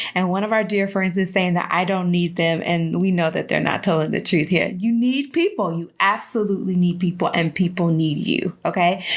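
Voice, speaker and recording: This woman speaks at a medium pitch with fairly even intonation. Her loudness stays very even, and she takes hardly any pauses. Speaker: online show host. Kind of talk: motivational talk. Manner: fast; passionate.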